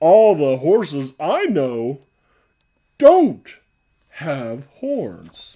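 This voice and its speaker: Using a put-on character voice, a woman talks very slowly in a very deep, low pitch with very wide pitch swings and long, frequent pauses. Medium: read story. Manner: wondering, innocent.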